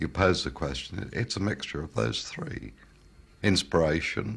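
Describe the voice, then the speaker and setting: Vocal fry marks a man's voice at a moderate pace. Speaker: loudspeaker company founder. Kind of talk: interview answer. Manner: soft-spoken, humble.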